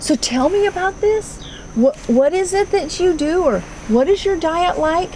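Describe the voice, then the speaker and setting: A woman with very wide pitch swings at a moderate pace, over noticeable background noise. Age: 60s. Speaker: homesteading vlogger. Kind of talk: casual chat.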